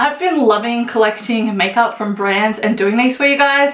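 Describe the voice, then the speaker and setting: A woman speaks with an Australian accent. Noticeable background noise is present. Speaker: beauty vlogger. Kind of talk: makeup tutorial. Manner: casual, chatty.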